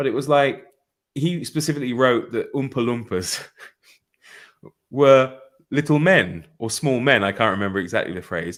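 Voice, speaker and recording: Lively intonation and vocal fry mark a man's speech, broken by long, frequent pauses, in a very clean recording with a silent background. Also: medium pitch for a man, moderate pace. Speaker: booktuber discussing a book. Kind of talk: casual book discussion on live show. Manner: halting, frequent stammered repeats.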